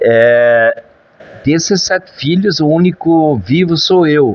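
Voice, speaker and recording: A man with a fairly high voice at a very slow pace, over noticeable background noise. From southern Brazil, German-descended rural Rio Grande do Sul. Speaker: former mayor and politician. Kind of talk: interview. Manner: hesitant, frequent false starts; jokey, casual.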